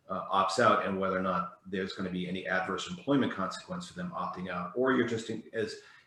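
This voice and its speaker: A man talking at a very fast pace with hardly any pauses, amid audible room echo and noticeable background noise. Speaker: employment attorney. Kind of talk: webinar presentation. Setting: video webinar.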